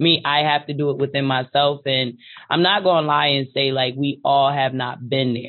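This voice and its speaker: Her pitch very deep and low, a woman with an American accent speaks at a moderate pace with fairly even intonation. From Hartford, Connecticut. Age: 30s. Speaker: parent advocate. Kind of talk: panel discussion.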